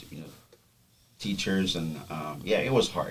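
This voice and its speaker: A man with a very deep, low pitch speaks with audible room echo. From Haiti. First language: Haitian Creole. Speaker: podcast guest. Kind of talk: personal testimony. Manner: halting, many fillers.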